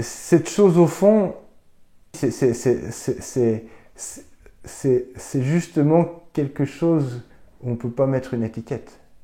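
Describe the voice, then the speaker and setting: A dark, mellow tone at a very slow pace, with long, frequent pauses, on a very clean recording with a silent background. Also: man, fairly high pitch for a man, ordinary pitch variation. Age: 40s. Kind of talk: interview answer.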